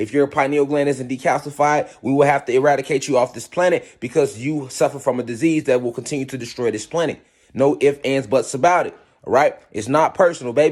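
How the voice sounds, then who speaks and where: A man with an animated tone and a fairly high pitch talks at a fairly quick pace in a very clean recording with a silent background. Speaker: spiritual teacher. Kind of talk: lecture. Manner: fast.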